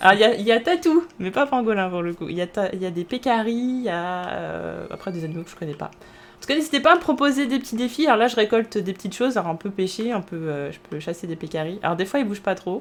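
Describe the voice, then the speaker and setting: Talking at a very fast pace, a woman with a medium-pitched voice makes very wide pitch swings and big swings in loudness. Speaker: streamer. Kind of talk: live gameplay commentary. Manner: halting, many fillers.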